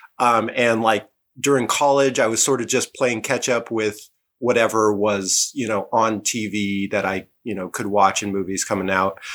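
On a very clean recording with a silent background, a man with an ordinary speaking voice talks at a moderate pace, medium in pitch and with fairly even intonation. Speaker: podcast guest, film fan. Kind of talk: casual conversation about film.

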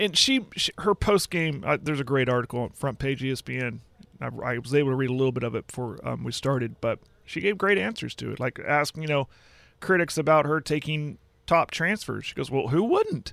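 Here is a man with an unremarkable speaking voice, fairly high in pitch and lively in intonation. He speaks at a fairly quick pace on a very clean recording with a silent background. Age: 30s. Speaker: sports radio co-host. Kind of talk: casual sports talk. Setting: studio.

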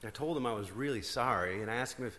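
The speaker is plainly reading aloud. Pitch variation is ordinary.

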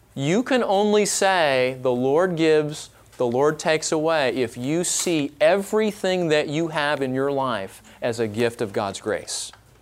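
A man talks fairly slowly in a fairly high voice, with lively intonation and hardly any pauses. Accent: American. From Southern California, Orange County. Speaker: pastor. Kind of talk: conference workshop teaching. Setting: live workshop with audience.

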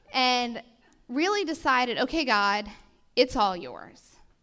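Speaking very slowly with an American accent, a woman uses a high pitch and lively intonation. Her tone is bright and sharp. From US South, New Orleans. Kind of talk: testimony.

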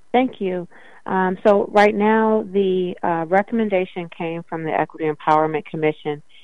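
At a moderate pace, a woman with an American accent uses a normal speaking voice with a medium pitch and ordinary pitch variation. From US Midwest, Evanston, Illinois. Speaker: city council member. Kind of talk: interview.

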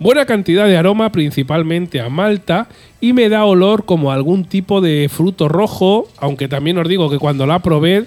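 Here a man talks at a high pitch and a moderate pace. His tone is animated and his intonation lively. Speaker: beer podcast host. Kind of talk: beer tasting notes.

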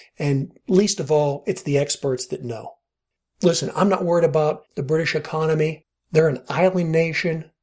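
Using an unremarkable speaking voice, a man talks at a moderate pace and fairly high pitch with ordinary pitch variation. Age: 50s. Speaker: podcast host and money manager. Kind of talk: solo podcast monologue. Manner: casual, conversational.

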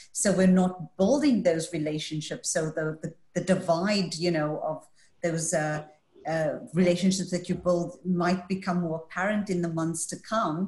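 A woman's somewhat breathy, fairly low voice at a fairly slow pace with fairly even intonation. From Scotland. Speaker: panel moderator. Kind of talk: moderated panel discussion. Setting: video call.

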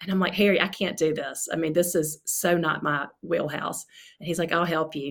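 Fairly quick and fairly low in pitch, a woman talks in an unremarkable speaking voice with ordinary pitch variation. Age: 40s. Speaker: author. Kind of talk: casual chat.

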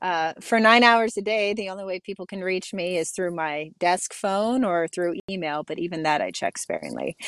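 At a moderate pace with hardly any pauses, a woman with an American accent uses an ordinary speaking voice at a medium pitch with ordinary pitch variation, in a dry, close sound with no echo. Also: very clean recording, silent background. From Ohio, Youngstown. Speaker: neuroscientist and soldier. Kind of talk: interview.

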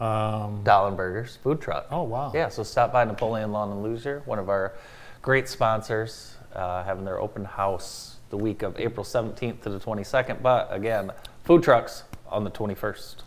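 A man talks at a moderate pace with medium pitch and ordinary pitch variation. It is an ordinary speaking voice. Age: 40s. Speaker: radio morning show host. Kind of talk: casual chat.

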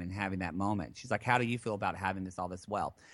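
Over a silent background in a very clean recording, a man speaks at a very fast pace. His tone is animated. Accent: American. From southern Oklahoma. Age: 30s. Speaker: therapist, actor and podcast host. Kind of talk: interview conversation.

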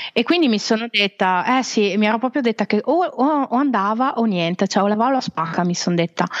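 A woman talks at a fairly quick clip with hardly any pauses, her fairly high voice carrying lively intonation. It's an ordinary speaking voice at very even loudness, with a dry, close sound and no echo. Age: 40s. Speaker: travel blogger and freelance web marketer. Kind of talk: podcast interview.

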